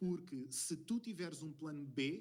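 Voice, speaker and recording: Speaking at a very slow pace, a man with a European Portuguese accent uses a fairly high pitch. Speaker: screenwriter and former ballroom dance teacher. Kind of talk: podcast interview. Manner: hesitant, many fillers.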